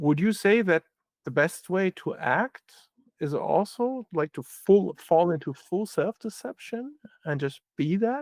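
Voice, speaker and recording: The man's pitch is high, and he talks at a fairly slow pace. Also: lively intonation, dry, close sound with no echo. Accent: German. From Germany. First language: German. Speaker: philosopher. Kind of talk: interview conversation. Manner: halting.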